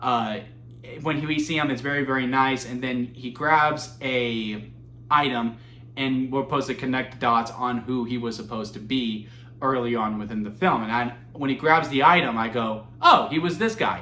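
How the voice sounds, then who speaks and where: A man speaks at a moderate pace with a medium pitch and fairly even intonation. Audible room echo surrounds his voice. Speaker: movie reviewer. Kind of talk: solo video review. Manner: halting, stumbling over words; casual, conversational.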